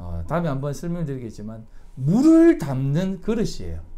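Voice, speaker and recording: Audible room echo surrounds a man speaking at a moderate pace. His voice is fairly high in pitch, with a dark, mellow tone. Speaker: pastor. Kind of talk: sermon. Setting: church.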